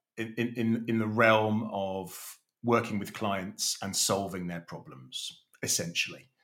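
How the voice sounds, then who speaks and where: Very slowly, a man talks in a bright, sharp tone with a fairly low pitch. His intonation stays fairly even. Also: big swings in loudness. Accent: British. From Kenya and UAE, British family. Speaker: leadership coach. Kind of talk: interview. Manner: hesitant, many repetitions.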